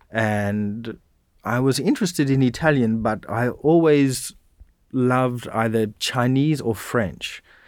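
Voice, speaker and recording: A man with an Australian accent speaks very slowly at a medium pitch. The pitch variation is ordinary, and the recording is very clean with a silent background. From rural Western Australia. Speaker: university lecturer. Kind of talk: interview conversation.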